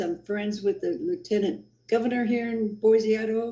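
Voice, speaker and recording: The voice is somewhat breathy, with a dark, mellow tone. It moves at a moderate pace. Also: woman. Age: 70s. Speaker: former rally participant interviewed. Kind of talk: interview.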